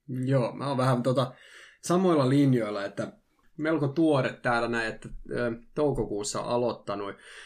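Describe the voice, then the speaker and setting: Long, frequent pauses break up a man's moderate-paced speech, which has a medium pitch and ordinary pitch variation. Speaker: youth worker, former substance abuser. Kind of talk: casual discussion. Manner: halting, many filler words.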